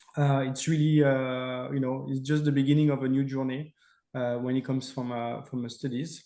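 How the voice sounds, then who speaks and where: In a French accent, a man speaks at a moderate pace with a dark, mellow tone, medium pitch and monotone, flat intonation. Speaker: company representative. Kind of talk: webinar Q&A and closing. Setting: online webinar.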